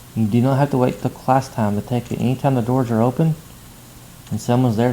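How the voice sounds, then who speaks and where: This man talks at a fairly quick pace. His medium pitch follows fairly even intonation. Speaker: math instructor. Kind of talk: tutorial. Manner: fast.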